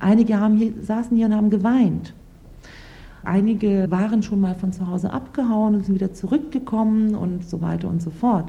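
A woman's somewhat breathy voice has a dark, mellow tone and medium pitch, moving at a moderate pace with ordinary pitch variation. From Lower Saxony, Germany, Turkish family. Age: 30s. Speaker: lawyer. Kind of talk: interview testimony.

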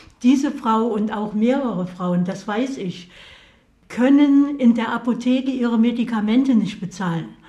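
The voice moves at a moderate pace with ordinary pitch variation, heard with audible room echo and noticeable background noise. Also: woman, fairly high pitch for a woman. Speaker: association chairwoman. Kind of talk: interview.

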